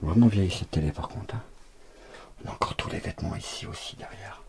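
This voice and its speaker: A soft-spoken man talks at a fairly quick pace over noticeable background noise. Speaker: urbex youtuber. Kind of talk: walkthrough vlog narration.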